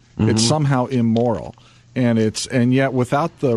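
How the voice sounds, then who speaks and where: Medium in pitch with ordinary variation, a man with a plain, everyday voice moves at a fairly quick pace. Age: 50s. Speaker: business publisher and CEO. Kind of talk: radio interview. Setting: studio.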